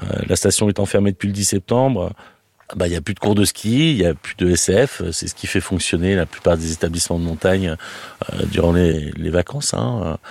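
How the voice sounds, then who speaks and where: A man's very deep, low voice with lively intonation at a moderate pace, the sound dry and close with no echo. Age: 40s. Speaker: restaurant owner. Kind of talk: interview testimony. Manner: hesitant, many fillers.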